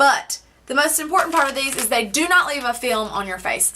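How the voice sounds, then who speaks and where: Her pitch is high and her intonation lively as this woman talks at a fairly quick pace. Noticeable background noise is present. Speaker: beauty vlogger. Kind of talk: product review vlog. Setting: home, filmed at a table. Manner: fast; loud.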